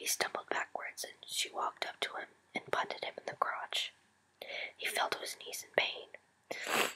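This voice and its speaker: A whispering woman with big swings in loudness against noticeable background noise. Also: moderate pace. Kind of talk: whispered story reading to camera. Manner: soft, whispered.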